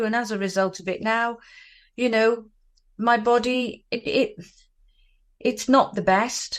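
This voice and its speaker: With fairly even intonation and a fairly high pitch, a woman is heard on a very clean recording against a silent background. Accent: British. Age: 60s. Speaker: anti-bullying advocate. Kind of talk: interview testimony.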